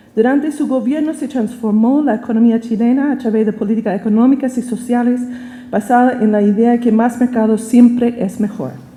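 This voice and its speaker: With an American accent, a woman with a high pitch talks at a moderate pace and fairly even intonation. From United States. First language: English (speaking Spanish). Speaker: professor. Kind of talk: lecture. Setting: auditorium.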